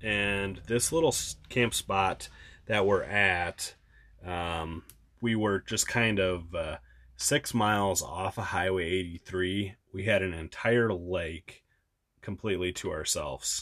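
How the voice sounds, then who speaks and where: Speaking very slowly with an American accent, a man uses a fairly low pitch with ordinary variation. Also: very clean recording, silent background. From Wisconsin. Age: 30s. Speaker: travel podcast co-host. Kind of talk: casual chat.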